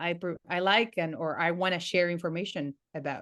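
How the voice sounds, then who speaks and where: Speaking at a moderate pace, a woman has a Spanish accent and a fairly low pitch. Her intonation is monotone and flat, and the background is quiet. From Argentina, Patagonia. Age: 30s. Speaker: entrepreneur and online education consultant. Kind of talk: podcast interview. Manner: halting, frequent repetitions.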